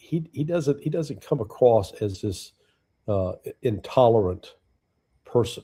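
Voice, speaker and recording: A man's very slow, somewhat breathy voice with a dark, mellow tone, on a very clean recording with a silent background. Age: 70s. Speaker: political analyst, former intelligence officer. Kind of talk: casual chat.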